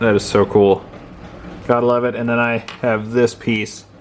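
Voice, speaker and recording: A man speaks at a moderate pace. Noticeable background noise runs beneath him. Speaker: rockhound YouTuber. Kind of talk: casual video narration. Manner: animated.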